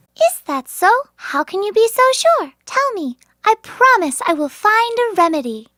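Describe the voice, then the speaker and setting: A put-on character voice pitched extremely high comes out squeaky. It moves at a moderate pace. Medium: audio drama. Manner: gentle, soothing.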